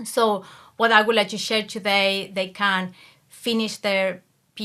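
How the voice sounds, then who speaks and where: A woman speaks in an Argentine accent with a bright, sharp tone and monotone, flat intonation on a very clean recording with a silent background. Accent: Argentine Spanish accent, noticeable. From Argentina. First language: Spanish. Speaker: academic coach, PhD graduate. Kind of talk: interview conversation.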